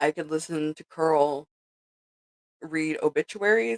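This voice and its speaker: This is a woman speaking. She has a Southern California accent. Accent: valley girl. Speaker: livestreamer. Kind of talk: casual chat. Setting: livestream. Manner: animated.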